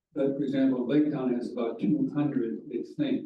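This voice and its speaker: A man is speaking. The room echo is audible. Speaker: public commenter at township meeting. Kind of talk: public comment. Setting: township board meeting. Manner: soft-spoken. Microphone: hard to hear, too quiet.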